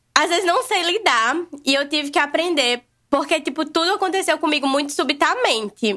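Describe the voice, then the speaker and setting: A woman speaks in a raised, projected voice. Her pitch is extremely high and her intonation lively. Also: moderate pace, very even loudness. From Brazil, Natal (Rio Grande do Norte, Northeast). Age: 20s. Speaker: vegan food content creator. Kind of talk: casual podcast conversation.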